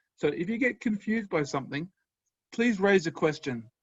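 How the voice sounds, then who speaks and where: Lively intonation colors the speech of a man with an Australian accent. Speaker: professor. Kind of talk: lecture. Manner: animated.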